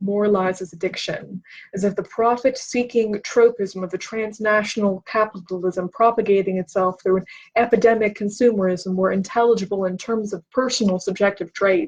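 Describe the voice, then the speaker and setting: A woman's medium-pitched, somewhat breathy voice with fairly even intonation. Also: moderate pace. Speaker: booktube host. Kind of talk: reading aloud. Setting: livestream. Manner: halting, stumbles over words.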